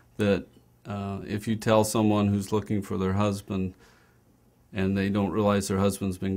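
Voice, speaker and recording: A man with an American accent, fairly low in pitch, at a moderate pace with monotone, flat intonation. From US Midwest (Iowa). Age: 40s. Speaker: registered nurse and care coordinator. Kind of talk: career talk interview. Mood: warm, reflective. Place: office.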